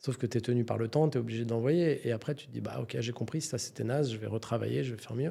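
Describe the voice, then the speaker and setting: A man speaks at a very fast pace. His tone is dark and mellow, with vocal fry. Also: medium pitch for a man, ordinary pitch variation. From France, Paris suburbs. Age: 50s. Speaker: entrepreneur. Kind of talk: podcast interview.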